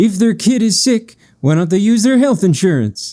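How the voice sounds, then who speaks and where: A man's put-on character voice, high-pitched with lively intonation, at a moderate pace on a very clean recording with a silent background. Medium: read story.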